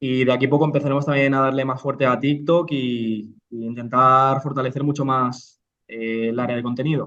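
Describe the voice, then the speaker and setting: A man speaks at a moderate pace with hardly any pauses, his medium-pitched voice bright and sharp. His intonation stays flat and monotone. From Spain, Almería (Andalusia). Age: 30s. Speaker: real estate investor and entrepreneur. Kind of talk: interview. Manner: halting, many repetitions.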